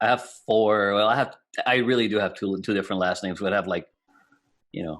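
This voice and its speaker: Against a silent background on a very clean recording, a man with a slight Puerto Rican accent and a fairly low voice speaks very fast but with long, frequent pauses. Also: fairly even intonation. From Puerto Rico. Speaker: IT business owner. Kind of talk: casual chat.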